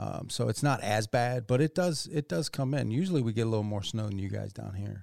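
In a very clean recording with a silent background, a man with an unremarkable speaking voice talks at a medium pitch and a fairly quick pace, with lively intonation and hardly any pauses. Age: 50s. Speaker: podcast co-host. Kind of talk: casual chat.

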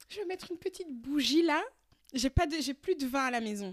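A woman speaks at a high pitch in an animated tone. Her intonation is lively. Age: 20s. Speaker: podcast co-host. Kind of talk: casual chat.

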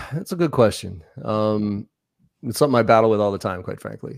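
This voice carries an American accent. Behind it, the background is silent on a very clean recording. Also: man. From US Northeast (Boston). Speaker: sales trainer. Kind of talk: interview conversation. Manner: fast.

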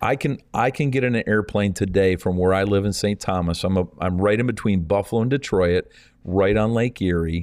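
A man talks at a fairly quick pace in a fairly low pitch with ordinary pitch variation. It is an unremarkable speaking voice over a quiet background. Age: 50s. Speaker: evangelist. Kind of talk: interview.

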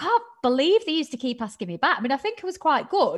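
A woman speaks with a Mancunian accent. Her pitch swings very widely. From northern England. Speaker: TV presenter and podcaster. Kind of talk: casual interview chat. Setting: video call.

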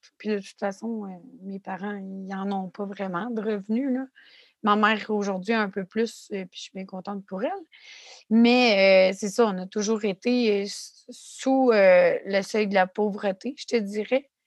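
A woman with a Quebec accent speaks at a very slow pace and a medium pitch, with fairly even intonation. Her loudness swings widely, and the sound is dry and close with no echo. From Quebec City area. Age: 30s. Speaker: podcast co-host, graduate student, former youth in care. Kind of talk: casual chat and personal testimony.

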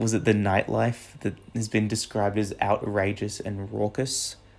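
A man's fairly low, monotone and flat voice with an Australian accent at a fairly slow pace. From Canberra, Australia. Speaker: podcast host. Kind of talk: casual monologue. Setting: outdoors on a walk.

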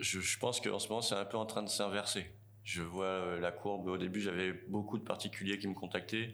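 A man speaks in a fairly low voice. His pace is fairly slow. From France, Tours. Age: 40s. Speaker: waste collection business owner. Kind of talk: interview. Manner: halting, many fillers.

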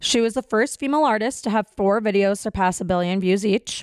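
Fairly quick speech with ordinary pitch variation, dry and close with no echo, in a very clean recording over a silent background. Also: woman. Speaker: podcast co-host. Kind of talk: casual chat.

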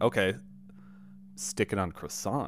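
A voice with vocal fry comes through on a very clean recording with a silent background. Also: man. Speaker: returning podcast guest. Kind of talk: casual banter.

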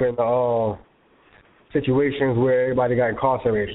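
A New York accent comes through in this voice. The speech moves at a moderate pace. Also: man. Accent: New York (Bronx) English. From New York, South Bronx. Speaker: magazine co-founder and CEO. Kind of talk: interview. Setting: phone call.

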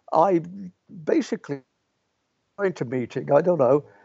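With an English accent, a man speaks in a fairly high pitch and lively intonation. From English Midlands and Yorkshire. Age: 80s+. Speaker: philosophy professor. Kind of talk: interview. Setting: video call. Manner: fast.

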